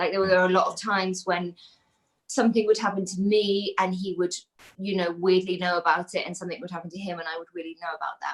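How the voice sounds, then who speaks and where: A woman with a medium pitch speaks at a very fast pace in a monotone, flat intonation, with big swings in loudness. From south-west England, Devon-Dorset border. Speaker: guest storyteller. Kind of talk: casual chat.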